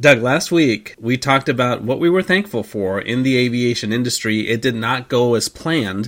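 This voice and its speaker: A man with an ordinary speaking voice at medium pitch, moderate pace, ordinary pitch variation and hardly any pauses. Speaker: airline ops manager. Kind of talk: casual podcast chat. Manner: chatty, joking.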